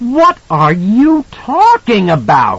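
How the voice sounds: Putting on a character voice, a man talks slowly at a high pitch with a slightly husky edge and very wide pitch swings.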